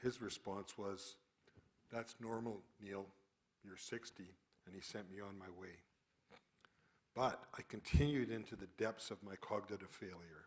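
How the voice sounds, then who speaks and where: Fairly low-pitched, a man with a western Canadian accent speaks at a fairly slow pace with fairly even intonation, big swings in loudness and long, frequent pauses. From Calgary, western Canada. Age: 60s. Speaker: retired geoscientist with early onset Alzheimer's. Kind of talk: prepared talk.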